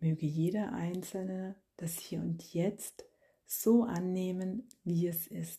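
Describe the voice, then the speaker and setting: A woman speaks at a very slow pace in a medium pitch, her voice dark, mellow and somewhat breathy. Her tone is calm and gentle, with fairly even intonation. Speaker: meditation guide and podcast host. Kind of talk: guided meditation. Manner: slow, calm, soft-spoken; gentle, long pauses between phrases.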